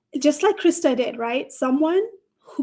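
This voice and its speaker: With a non-native accent, a woman speaks in an animated tone at a high pitch and a fairly slow pace. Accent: foreign. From Nepal. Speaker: career coach. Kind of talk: live stream panel discussion.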